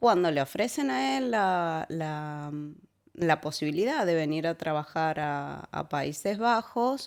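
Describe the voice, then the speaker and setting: With an Argentine accent, a woman speaks very slowly in a very deep, low pitch with lively intonation, on a very clean recording with a silent background. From Argentina, Córdoba. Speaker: immigrant sharing life story. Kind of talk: casual interview. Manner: halting, many fillers and repetitions.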